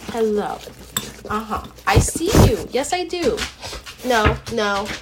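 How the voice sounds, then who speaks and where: Clearly audible background noise behind a woman speaking, her pitch varying in an ordinary way. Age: 20s. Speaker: podcast host. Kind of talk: casual chat. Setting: at home desk.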